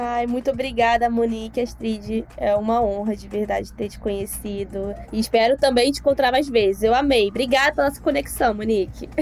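Fairly quick and with hardly any pauses, the speech has big swings in loudness against noticeable background noise. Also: woman. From Baixada Fluminense, Rio de Janeiro, Brazil. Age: 20s. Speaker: finance educator. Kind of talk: casual interview.

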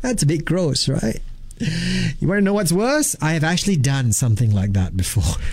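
The man's pitch is fairly high. His tone is animated and playful. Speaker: radio host. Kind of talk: radio DJ patter, chatty drive-time banter with jokes and rhymes. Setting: studio. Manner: playful, laughing, storytelling.

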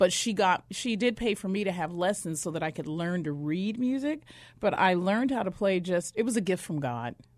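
Over a quiet background, an unremarkable speaking voice moves at a fairly quick pace with lively intonation. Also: woman, medium pitch for a woman. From northern Arizona (Flagstaff), born in Mississippi. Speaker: educator and former homeless addict. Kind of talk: testimony. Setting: studio.

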